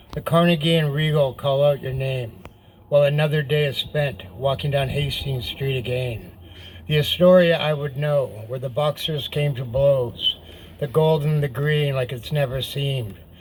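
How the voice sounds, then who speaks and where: Amid noticeable background noise, a man speaks at a moderate pace with fairly high pitch and ordinary pitch variation. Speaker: poet. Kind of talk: poetry reading.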